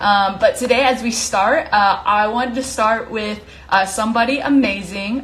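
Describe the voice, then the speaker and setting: Recorded with audible room echo and noticeable background noise, a woman with a fairly high pitch speaks at a fairly slow pace with fairly even intonation. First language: not English. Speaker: live stream host. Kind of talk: casual live stream chat. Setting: Instagram live from home. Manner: casual, many fillers.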